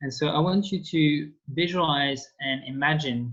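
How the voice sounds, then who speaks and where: A man with a French accent and a fairly high pitch talks with fairly even intonation. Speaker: French teacher. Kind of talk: online language lesson. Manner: hesitant, many fillers.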